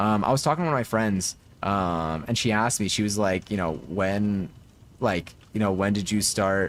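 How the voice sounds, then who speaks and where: A man's fairly low voice at a moderate pace, with ordinary pitch variation and very even loudness. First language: Spanish. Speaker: game streamer. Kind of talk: casual live stream chat. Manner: casual, filler-heavy.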